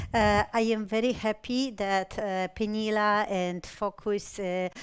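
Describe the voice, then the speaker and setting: A woman speaks in a Polish accent with fairly even intonation. The recording is very clean, with a silent background. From Poland. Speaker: patient safety advocate. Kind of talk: conference presentation. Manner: halting, many filler sounds.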